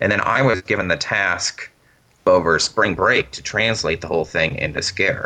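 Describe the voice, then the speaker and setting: The speaker talks at a fairly slow pace with lively intonation. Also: man. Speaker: linguist and language creator. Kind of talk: interview.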